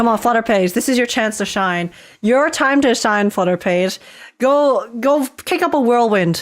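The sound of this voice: Delivered in an unforced reading voice, the speech carries lively intonation.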